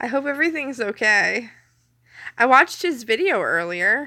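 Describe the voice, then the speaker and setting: A woman's raised, projected voice, high-pitched with a bright, sharp tone, very wide pitch swings and a fairly slow pace, on a very clean recording with a silent background. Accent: Canadian. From Canada. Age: 30s. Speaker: live streamer. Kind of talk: casual live stream chat. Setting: home kitchen, late night. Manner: clear enunciation.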